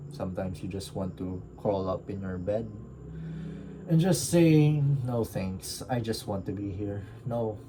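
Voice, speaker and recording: Amid audible room echo, a man with a fairly low voice speaks fairly slowly with lively intonation. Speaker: book reviewer. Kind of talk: casual reflective monologue. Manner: halting, stuttering.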